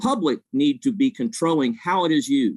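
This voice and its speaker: A man's high voice with very wide pitch swings at a very slow pace, in a dry, close sound with no echo. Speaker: public commenter, community activist. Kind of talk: public comment.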